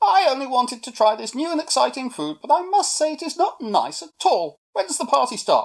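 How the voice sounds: Using a put-on character voice, a woman speaks at a high pitch and a fairly quick pace, with big pitch swings.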